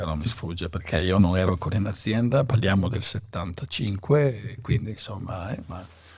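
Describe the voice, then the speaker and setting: A man's voice with very wide pitch swings, over noticeable background noise. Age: 60s. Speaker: winemaker. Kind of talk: interview. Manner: halting, many fillers.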